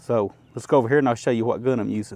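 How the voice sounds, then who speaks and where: With an Appalachian accent, a man speaks in a dark, mellow tone. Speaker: firearms YouTuber. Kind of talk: tutorial. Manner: casual.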